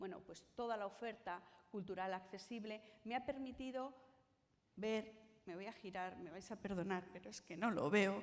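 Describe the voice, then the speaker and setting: A woman speaks at a fairly slow pace, her voice medium in pitch. Some room echo is audible. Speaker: conference panelist on cultural accessibility. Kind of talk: conference talk. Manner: tries to articulate clearly.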